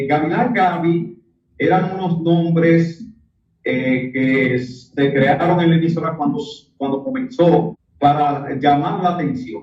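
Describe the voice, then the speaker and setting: A man with a Dominican accent speaks at a very slow pace. His voice is fairly high, with lively intonation. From Dominican Republic. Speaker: radio announcer. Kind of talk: interview answer.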